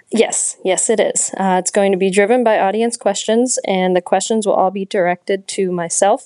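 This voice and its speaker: A woman talks at a moderate pace with fairly even intonation in an unremarkable speaking voice. The background is quiet. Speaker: young professionals panel organizer in water industry.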